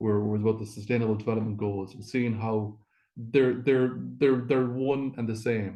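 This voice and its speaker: A man with an Irish accent speaks at a moderate pace with fairly even intonation. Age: 60s. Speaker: Traveller advocacy coordinator. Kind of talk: webinar presentation. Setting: video call from a hotel.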